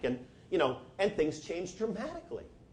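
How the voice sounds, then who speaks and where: A man with an American accent, his pitch swinging very widely, with audible room echo. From New Jersey, US. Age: 60s. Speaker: physician and lecturer. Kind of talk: lecture.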